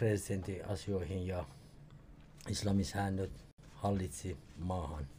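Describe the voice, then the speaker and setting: Somewhat breathy and dark, mellow in tone, a man with a fairly low pitch speaks at a very slow pace. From Iran, Tehran. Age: 50s. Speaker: podcast guest, co-host's father, immigrant. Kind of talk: casual interview.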